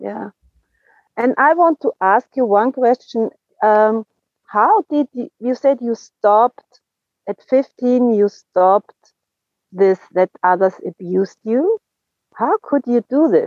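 With a German accent, a woman speaks at a very slow pace and a fairly high pitch, her intonation lively and her pauses long and frequent. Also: dry, close sound with no echo. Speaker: recovery group member. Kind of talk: casual chat. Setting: video call.

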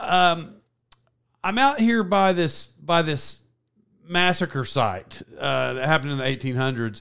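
The man's intonation is lively. He has an American accent. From Oklahoma, US. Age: 40s. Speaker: podcast host. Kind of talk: casual chat.

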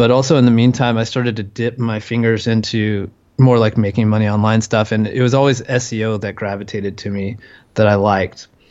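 A man with an American accent talks at a fairly quick pace in a medium pitch. His intonation is monotone and flat. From California. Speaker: SEO entrepreneur. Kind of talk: interview conversation.

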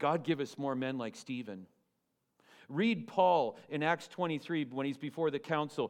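An unremarkable speaking voice from a man, fairly high in pitch, with lively intonation at a moderate pace. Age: 50s. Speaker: pastor. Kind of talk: sermon. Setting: church.

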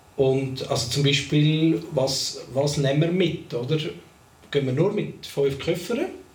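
Speaking at a very slow pace, a man with a fairly high pitch keeps his loudness very even and his pitch variation ordinary, with audible room echo around him. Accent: Swiss. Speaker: podcast co-host. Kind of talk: casual chat. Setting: studio recording with cameras.

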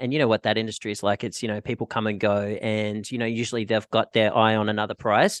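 Speaking at a very fast pace with a monotone, flat intonation, a man with an Australian accent has a medium pitch, heard in a dry, close sound with no echo over a quiet background. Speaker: podcast host and packaging sales rep. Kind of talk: casual interview chat.

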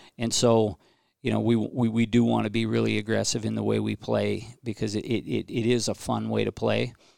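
At a moderate pace, a man speaks with an American accent in a dry, close sound with no echo. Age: 50s. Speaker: high school hockey coach. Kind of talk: casual interview.

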